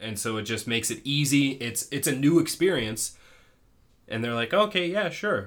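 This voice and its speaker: Using a normal speaking voice, a man talks at a moderate pace in a fairly high pitch with lively intonation. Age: 20s. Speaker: podcast host. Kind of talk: casual chat.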